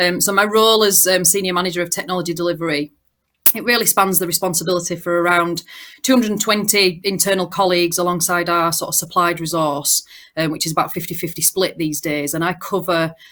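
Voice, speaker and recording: In a Yorkshire accent, the voice moves at a fairly quick pace with fairly even intonation on a very clean recording with a silent background. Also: woman. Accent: broad Yorkshire. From Yorkshire, northern England. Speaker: banking technology manager. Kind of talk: panel discussion.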